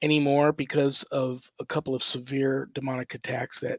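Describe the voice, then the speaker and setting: A man at a moderate pace, the sound dry and close with no echo. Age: 60s. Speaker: exorcist. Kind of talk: interview. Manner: halting.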